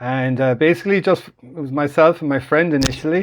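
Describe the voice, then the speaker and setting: An Irish-accented man talks at a fairly quick pace with ordinary pitch variation. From Ireland. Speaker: online business group founder. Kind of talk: live stream call. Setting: live online call. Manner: casual, halting with fillers.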